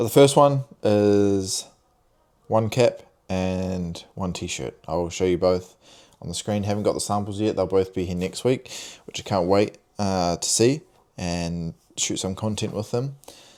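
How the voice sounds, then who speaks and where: A man speaks with a New Zealand accent. His pitch varies in an ordinary way. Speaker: vlogger and clothing brand owner. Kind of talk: casual vlog talk to camera. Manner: hesitant, many fillers and repeats.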